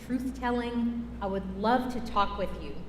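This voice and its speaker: Noticeable background noise and audible room echo surround this voice. A woman talks at a fairly slow pace and a fairly high pitch. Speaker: climate justice organizer. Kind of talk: talk during church service. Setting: church. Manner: loud; animated.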